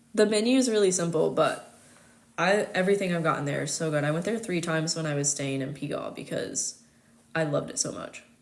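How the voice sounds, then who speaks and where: Very fast, a woman speaks with lively intonation and a fairly low pitch. Audible room echo surrounds her voice. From United States. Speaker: astrologer. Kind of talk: casual chat. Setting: live stream.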